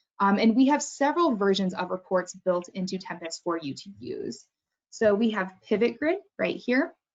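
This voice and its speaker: A medium-pitched woman at a moderate pace, with very wide pitch swings and big swings in loudness. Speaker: software trainer. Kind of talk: webinar tutorial.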